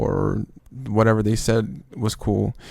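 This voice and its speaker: A man with a medium pitch, a non-native accent and a dark, mellow tone. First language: not English. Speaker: trading youtuber. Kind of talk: casual advice monologue. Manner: casual, slangy.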